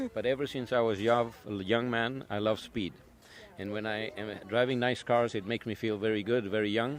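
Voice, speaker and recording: At a moderate pace, a man speaks in a plain, everyday voice with medium pitch and fairly even intonation. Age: 60s. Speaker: car collector and custom shop owner. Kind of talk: interview.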